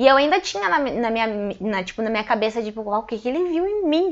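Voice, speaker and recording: A woman talks at a fairly quick pace with a fairly high pitch and lively intonation. It is an ordinary speaking voice. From Passo Fundo, Rio Grande do Sul, Brazil. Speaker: stand-up comedian. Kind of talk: casual interview chat.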